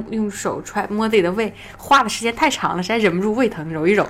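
A woman talks at a very fast pace. Her pitch is fairly high with ordinary variation. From Northeast China. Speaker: voice actor. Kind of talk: casual chat.

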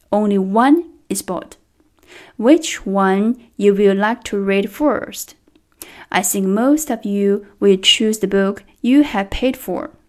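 With a Chinese accent, a woman speaks at a very slow pace in a medium pitch. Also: ordinary pitch variation. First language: Mandarin Chinese. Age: 30s. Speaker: trainer. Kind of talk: prepared speech.

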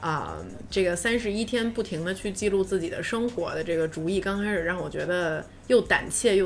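Noticeable background noise sits behind a woman speaking at a fairly quick pace with a medium pitch and ordinary pitch variation. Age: 30s. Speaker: podcast co-host. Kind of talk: casual chat. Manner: loud, with loud laughter.

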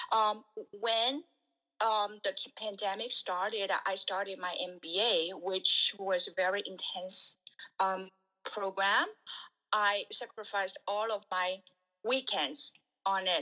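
Very slowly and with long, frequent pauses, a woman talks in a bright, sharp tone at medium pitch, keeping her intonation fairly even. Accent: Chinese. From Shanghai, China. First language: Chinese. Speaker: guest, former team leader. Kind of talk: casual chat. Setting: video call. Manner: hesitant, many fillers.

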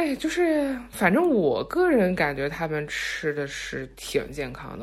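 A woman's pitch swings very widely while noticeable background noise fills the recording. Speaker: podcast co-host. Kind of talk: casual chat.

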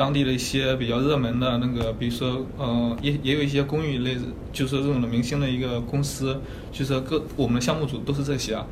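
Over noticeable background noise and audible room echo, a man speaks at a fairly quick pace in a monotone, flat intonation, his pitch medium and his loudness very even. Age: 20s. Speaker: graphic designer. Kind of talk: casual career consultation chat. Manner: halting, many fillers.

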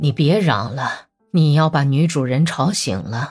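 A woman does a put-on character voice at a fairly slow pace, low in pitch with lively intonation. Her tone is slightly mellow with a slightly husky edge, and faint music plays in the background.

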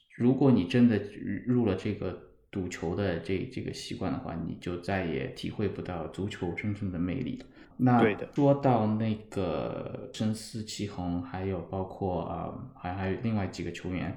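In a room with audible echo, a man talks at a fairly slow pace with a fairly low pitch and ordinary pitch variation. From Shanghai, China. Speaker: football fan. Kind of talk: casual chat. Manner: halting, repeats words.

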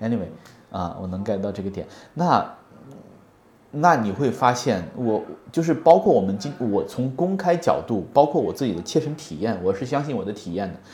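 A man speaks at a medium pitch with very wide pitch swings. His voice is somewhat breathy and his pace is moderate. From Hunan, China. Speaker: podcast co-host. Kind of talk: casual chat. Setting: office.

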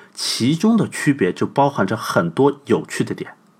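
This man sounds animated in tone. His pitch makes very wide swings. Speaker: podcast host. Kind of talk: scripted narration.

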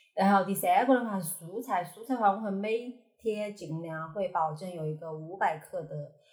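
At a moderate pace with hardly any pauses, a woman's somewhat breathy, medium-pitched voice shows ordinary pitch variation and big swings in loudness. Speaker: fitness enthusiast. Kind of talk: casual chat.

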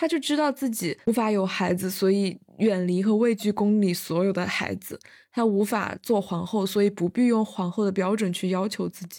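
A dark, mellow voice moves at a moderate pace with ordinary pitch variation on a very clean recording with a silent background. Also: woman, medium pitch for a woman. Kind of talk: casual chat. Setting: university dorm during campus lockdown.

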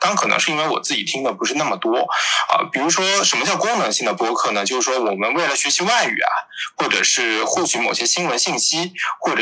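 Noticeable background noise surrounds the speaker, a man. He talks at a fairly quick pace. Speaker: PhD student in literature. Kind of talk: casual panel discussion. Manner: hesitant, many fillers.

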